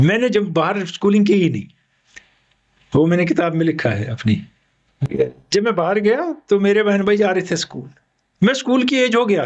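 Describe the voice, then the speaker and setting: Pitched high, a man speaks at a moderate pace with lively intonation and long, frequent pauses. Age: 60s. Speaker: retired radio broadcaster and sports commentator. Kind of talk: interview.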